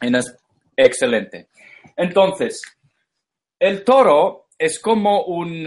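A man speaks in an English accent at a very slow pace. His pitch swings very widely. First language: English (speaking Spanish). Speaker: esoteric lecturer. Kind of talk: lecture. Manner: halting.

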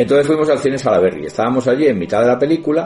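Noticeable background noise sits behind the voice. A man speaks at a very fast pace. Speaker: radio co-host. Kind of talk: casual chat.

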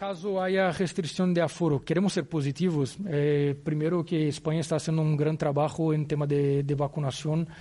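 Against a quiet background, a man with a Portuguese accent speaks at a moderate pace, his fairly high pitch carrying a dark, mellow tone and fairly even intonation. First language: Portuguese (speaking Spanish). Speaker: football club executive. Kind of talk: press conference. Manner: halting.

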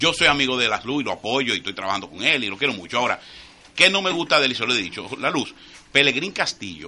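A man talks at a very fast pace. His medium-pitched voice swings very widely in pitch. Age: 50s. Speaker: radio panelist. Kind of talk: casual chat.

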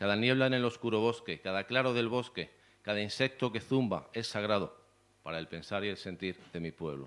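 With a Spanish accent, a man speaks at a fairly quick pace, his pitch fairly low and his pitch variation ordinary. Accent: Peninsular Spanish. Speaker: poet and event organizer. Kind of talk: poetry reading. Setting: stage with audience.

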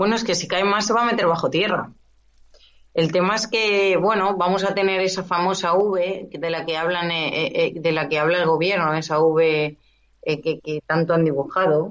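A woman has an unremarkable speaking voice with a fairly low pitch. She keeps a moderate pace and fairly even intonation. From Catalonia, Spain (Esplugues, near Barcelona). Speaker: business owner. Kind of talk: interview.

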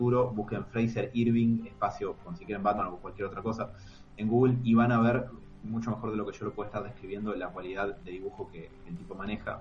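Words come very fast, with ordinary pitch variation. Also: man. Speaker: comic podcast co-host. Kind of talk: casual chat. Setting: live stream.

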